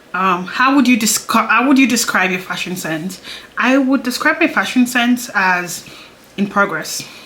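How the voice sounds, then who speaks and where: A woman talks at a moderate pace and a fairly high pitch, her intonation lively. Long, frequent pauses break up her speech over noticeable background noise. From Nigeria. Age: 20s. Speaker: beauty YouTuber. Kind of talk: casual chat. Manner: chatty, hesitant with fillers.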